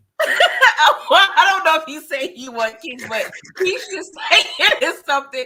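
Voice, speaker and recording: A woman's raised, projected voice with very wide pitch swings at a fairly slow pace. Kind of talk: casual chat.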